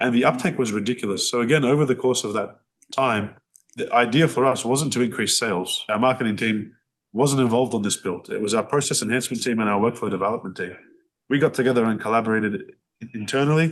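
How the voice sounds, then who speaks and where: Speaking at a very fast pace against a quiet background, a man with an Australian accent uses a medium pitch and ordinary pitch variation. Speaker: business owner. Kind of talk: podcast interview. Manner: loud; animated.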